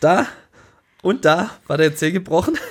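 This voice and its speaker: With a slight Swabian accent, a man speaks at a high pitch with lively intonation. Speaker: podcast co-host. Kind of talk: casual chat.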